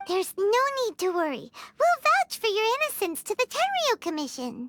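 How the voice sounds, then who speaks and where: A put-on character voice, squeaky and extremely high, leaps through very wide pitch swings. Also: moderate pace. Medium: video game. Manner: blunt, casual.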